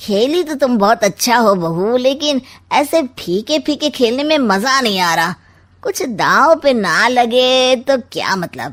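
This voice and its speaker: Here a woman puts on a cartoonish character voice with a high pitch. Her intonation is lively. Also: fairly slow pace. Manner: sly, mocking.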